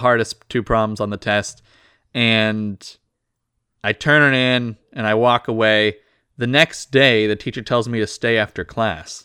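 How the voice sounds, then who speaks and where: In a very clean recording with a silent background and a dry, close sound with no echo, a man speaks with an American accent at a moderate pace. He has an ordinary speaking voice of medium pitch with fairly even intonation. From US. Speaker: podcast co-host. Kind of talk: casual banter.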